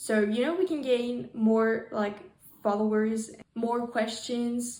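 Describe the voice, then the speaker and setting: Monotone and flat in intonation, this woman's voice sits at a fairly high pitch. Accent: non-native. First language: not English. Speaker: interviewer, fan account. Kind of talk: video intro. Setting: video call. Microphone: poor microphone.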